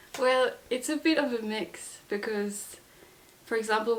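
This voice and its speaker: A woman talks at a moderate pace, her pitch varying in an ordinary way. Noticeable background noise comes through too. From Madagascar. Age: 20s. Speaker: student. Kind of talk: interview.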